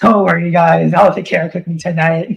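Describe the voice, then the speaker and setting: A man's raspy, high-pitched put-on character voice at a moderate pace. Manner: sarcastic, mocking.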